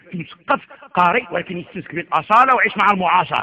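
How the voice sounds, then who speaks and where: High-pitched speech from a man at a fairly quick pace, with lively intonation and noticeable background noise. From Morocco. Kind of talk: sermon. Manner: animated.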